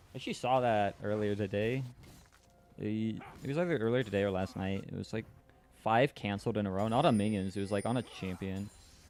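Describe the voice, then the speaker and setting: Music plays in the background as a man talks at a very fast pace. His pitch is fairly low, with ordinary variation. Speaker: esports caster. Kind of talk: live commentary. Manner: animated.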